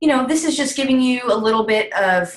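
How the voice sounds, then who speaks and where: A woman talks at a moderate pace with lively intonation. Her voice is somewhat breathy. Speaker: essential oils wellness guide. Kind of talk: online presentation webinar. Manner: casual with many fillers.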